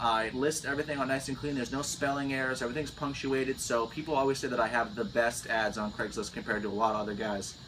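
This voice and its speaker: An American-accented man at a very fast pace, medium in pitch, against noticeable background noise. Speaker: landscaping business owner. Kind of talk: Q&A vlog, casual chat. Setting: on vacation in Florida.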